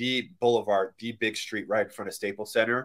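Bright and sharp in tone, a man's medium-pitched voice moves at a moderate pace. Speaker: podcast host. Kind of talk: casual chat. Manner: casual, chatty.

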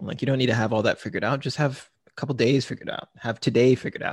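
Over a quiet background, a man's somewhat breathy voice sits at medium pitch with ordinary pitch variation. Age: 20s. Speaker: content creator and marketing manager. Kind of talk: casual interview.

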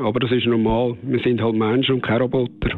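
A man with a Swiss German accent speaks at a moderate pace and medium pitch, his intonation fairly even, amid noticeable background noise. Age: 50s. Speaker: professional firefighter. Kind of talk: interview answers.

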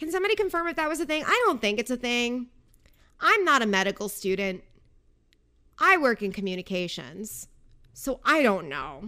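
A woman speaks at a high pitch with very wide pitch swings and a bright, sharp tone. Her moderate pace is broken by long, frequent pauses on a very clean recording with a silent background. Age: 20s. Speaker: podcast host. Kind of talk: casual chat. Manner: animated.

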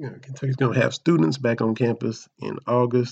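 A man's medium-pitched voice with a dark, mellow tone, fairly even intonation and a moderate pace. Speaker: sports podcast host. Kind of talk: casual commentary monologue.

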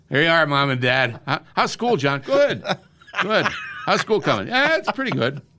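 Someone with an American accent speaks at a moderate pace, pitch swinging very widely. Long, frequent pauses break up the speech, and background noise is noticeable. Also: man, fairly high pitch for a man. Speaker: radio host. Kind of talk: casual chat.

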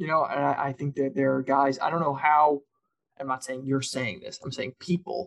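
Using an ordinary speaking voice, a man talks at a fairly high pitch. His pace is moderate and his intonation fairly even. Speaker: co-host. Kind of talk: casual sports podcast recap.

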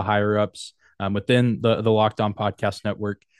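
Against a quiet background, a man with an American accent and a plain, everyday voice speaks at a fairly low pitch and a fairly quick pace, the sound dry and close with no echo. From West Texas. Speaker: sports podcaster. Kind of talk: casual interview.

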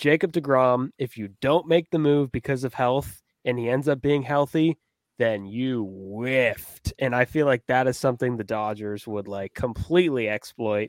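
A man with a plain, everyday voice speaks at a moderate pace, medium pitch and ordinary pitch variation. The recording is very clean with a silent background, and the sound is dry and close with no echo. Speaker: baseball writer and journalism student. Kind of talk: casual sports chat.

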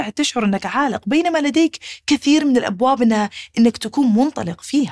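A woman talks at a fairly quick pace in an animated tone, and the sound is dry and close with no echo. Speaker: podcast host, psychology doctor. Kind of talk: casual monologue.

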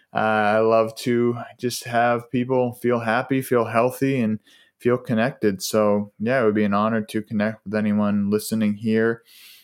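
A man with an American accent speaks in a medium pitch at a moderate pace, his intonation monotone and flat. His loudness stays very even, and the recording is very clean with a silent background. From US, Boston area. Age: 20s. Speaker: holistic lifestyle coach. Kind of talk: casual interview. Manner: relaxed, with many fillers.

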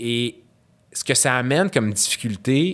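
A man's medium-pitched voice with very wide pitch swings at a fairly slow pace. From Quebec, Syrian parents. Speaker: guest, graduate student. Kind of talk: casual conversation, interview. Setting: studio.

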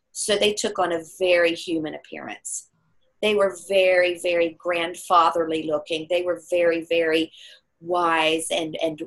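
Here is a woman with an unremarkable speaking voice and an American accent. She talks at a fairly slow pace in a fairly low pitch. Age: 50s. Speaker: metaphysical healer and speaker. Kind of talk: interview.

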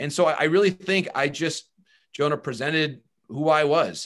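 A man with an American accent speaks in a normal speaking voice. His pace is fairly quick, with ordinary pitch variation. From Michigan, Bay City area. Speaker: baseball broadcaster and journalist. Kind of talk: interview.

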